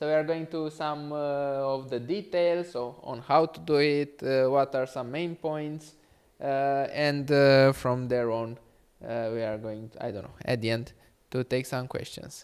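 Loudness swings widely while pitch varies in an ordinary way. The pace is fairly slow and the background quiet. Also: man. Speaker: presenter. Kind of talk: lecture. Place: classroom. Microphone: handheld.

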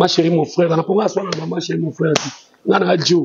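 A man speaks at a fairly quick pace and fairly high pitch. His voice has a husky, rough edge and little pitch movement.

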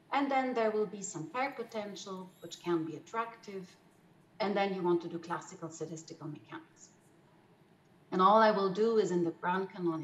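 Talking at a fairly quick pace, a woman shows ordinary pitch variation and big swings in loudness, with audible room echo around her. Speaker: mathematical physicist presenting. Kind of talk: lecture. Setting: video call. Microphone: webcam.

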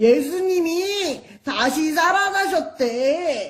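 This cartoonish character voice sits at an extremely high pitch. It moves at a very slow pace. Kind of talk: children's church puppet show. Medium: puppet.

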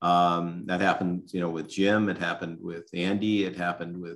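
Against a quiet background, a man with an American accent speaks in a very deep, low pitch. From San Francisco, California. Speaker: restaurant broker and former restaurateur; show host. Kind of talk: interview about family business history. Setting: video call. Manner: halting. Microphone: webcam.

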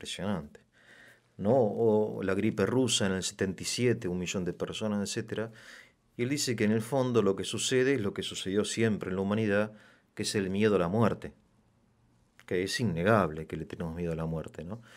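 In a normal speaking voice, a man talks at a moderate pace and fairly low pitch, with ordinary pitch variation and a quiet background. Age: middle-aged. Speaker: interviewer. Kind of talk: interview. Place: studio. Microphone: studio mic.

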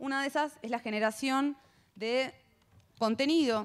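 Her pitch moves up and down in an ordinary way as this woman talks. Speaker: panel moderator. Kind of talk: panel moderation, introductory remarks. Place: hall. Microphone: handheld.

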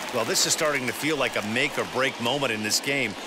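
A man talks at a fairly quick pace. Background noise is noticeable. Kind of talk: live baseball commentary, analysis. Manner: conversational, explanatory.

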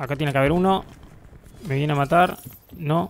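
A man with a Rioplatense accent speaks at a fairly high pitch against noticeable background noise. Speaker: gaming youtuber. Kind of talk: gameplay commentary. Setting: home bedroom. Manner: animated.

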